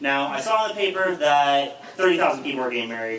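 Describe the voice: A man at a fast pace and medium pitch, with lively intonation, a fairly bright tone and audible room echo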